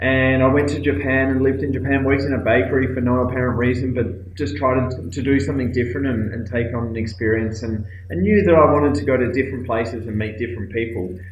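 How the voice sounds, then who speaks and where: With an Australian accent, a man races along at a very fast pace with hardly any pauses, amid noticeable background noise and audible room echo. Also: medium pitch for a man, ordinary pitch variation. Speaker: aid worker and speaker. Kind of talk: recorded video talk. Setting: cold office room abroad. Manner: hesitant, many fillers.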